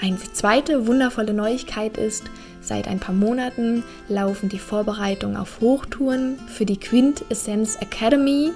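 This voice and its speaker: Music plays behind a woman speaking at a fairly high pitch. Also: ordinary pitch variation, moderate pace. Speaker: podcast host, Pilates trainer. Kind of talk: podcast intro.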